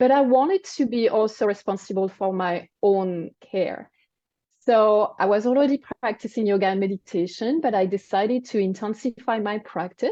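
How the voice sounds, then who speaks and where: A woman talks at a fairly high pitch and a moderate pace. Her pitch variation is ordinary. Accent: French. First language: French. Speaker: wellness coach and cancer survivor. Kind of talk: interview. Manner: halting.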